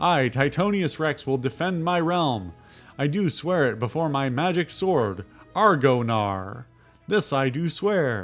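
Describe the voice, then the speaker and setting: A man's put-on character voice, fairly high-pitched and fairly slow, with faint music in the background. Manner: grand, vowing.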